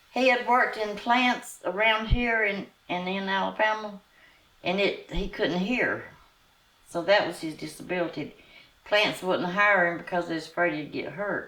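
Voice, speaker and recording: A woman with a Southern US accent speaks in a bright, sharp tone with ordinary pitch variation. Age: 80s+. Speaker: former student, oral history interviewee. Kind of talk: interview answer.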